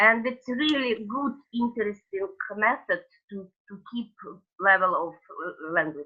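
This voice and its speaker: Her voice fairly high, a woman speaks at a fairly slow pace with big swings in loudness. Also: lively intonation. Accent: Russian. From Russia. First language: Russian. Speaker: coach, webinar participant. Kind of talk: casual sharing in webinar. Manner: halting, many fillers.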